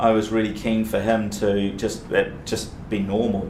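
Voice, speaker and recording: A man of medium pitch with a New Zealand accent is heard amid noticeable background noise and audible room echo. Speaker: business executive. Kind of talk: Q&A talk. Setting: breakfast event with audience. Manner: halting.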